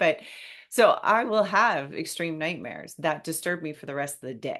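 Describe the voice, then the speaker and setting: A woman speaks with lively intonation at a moderate pace. The background is quiet. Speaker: grief podcast host and speaker. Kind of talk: casual interview chat.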